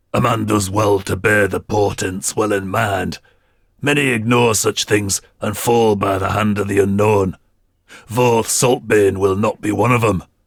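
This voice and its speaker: Putting on a character voice, a man talks in a raspy, fairly low register at a moderate pace with fairly even intonation. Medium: read story. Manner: commanding, measured, formal.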